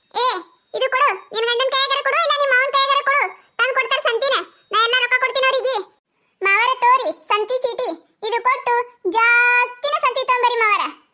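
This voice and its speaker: This woman does a cartoonish character voice, squeaky and extremely high in pitch, at a moderate pace. Her intonation is fairly even and her loudness very even. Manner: grumbling, exclamatory.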